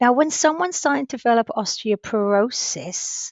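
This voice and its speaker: A woman talks with lively intonation. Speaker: teacher. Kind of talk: lecture. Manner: fast.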